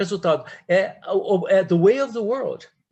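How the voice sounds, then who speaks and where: The voice belongs to a man with a high pitch. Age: 70s. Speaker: retired diplomat and professor. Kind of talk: guest talk in an academic discussion. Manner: halting, with many repeated words.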